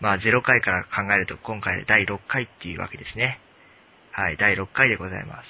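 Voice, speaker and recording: With big swings in loudness, a man speaks at a fairly quick pace, his pitch fairly low and its variation ordinary. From Tokyo. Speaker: podcast host. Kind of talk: casual chat.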